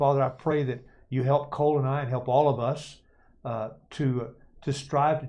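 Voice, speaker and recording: A man speaks in a fairly high pitch with a dark, mellow tone. His voice is somewhat breathy. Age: 70s. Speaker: church elder. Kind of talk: casual conversational Bible study. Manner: halting, repeats words.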